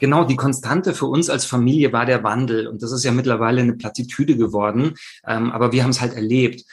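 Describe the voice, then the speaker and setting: The intonation stays fairly even. A man's words come very fast. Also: medium pitch for a man. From Italy, Rome. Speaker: communication trainer and keynote speaker. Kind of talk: interview. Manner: hesitant with many fillers.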